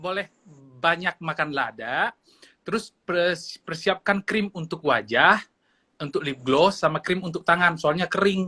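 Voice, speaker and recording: At a fairly slow pace, a man talks with a North Sumatran accent in a high pitch and a bright, sharp tone. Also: ordinary pitch variation, dry, close sound with no echo. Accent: Batak Indonesian. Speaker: friend joining live. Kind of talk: casual live chat. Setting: Instagram live video call, at home.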